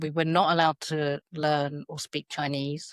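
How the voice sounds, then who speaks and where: A woman's very deep, low voice with a British accent, dry and close with no echo. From South London, England. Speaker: educator. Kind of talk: podcast interview. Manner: hesitant, many fillers.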